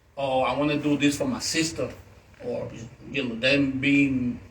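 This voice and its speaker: Moderate pace and a fairly high pitch from a male speaker, plus audible room echo. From Puerto Rico, Ponce. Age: 60s. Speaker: author and activist. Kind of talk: fireside chat interview. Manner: halting.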